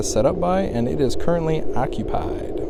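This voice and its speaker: Noticeable background noise and audible room echo surrounding a man's speech. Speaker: ham radio operator. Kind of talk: casual vlog narration. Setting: outdoors at a state park.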